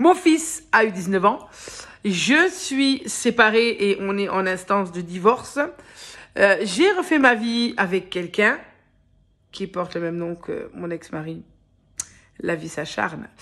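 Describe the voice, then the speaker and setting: A woman's medium-pitched voice with very wide pitch swings, big swings in loudness and long, frequent pauses. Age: 30s. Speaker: vlogger. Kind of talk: casual vlog. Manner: hesitant, filler-heavy.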